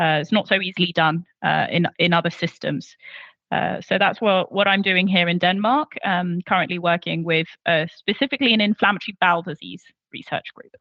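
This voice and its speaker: A woman's fairly quick voice with a strong English accent and ordinary pitch variation. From London, England. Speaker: medical doctor and researcher. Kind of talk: interview. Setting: video call. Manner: halting, many fillers.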